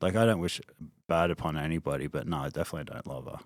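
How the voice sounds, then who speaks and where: Talking at a very fast pace, a man with an Australian accent uses lively intonation. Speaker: interview guest. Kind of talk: casual interview. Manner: hesitant, many fillers.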